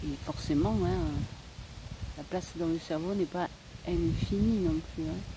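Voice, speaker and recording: There is noticeable background noise. Through it, a woman speaks at a very slow pace. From Spain. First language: Spanish (speaking French). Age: old. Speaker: vlogger. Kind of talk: casual vlog monologue. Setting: outdoors. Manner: hesitant, many fillers.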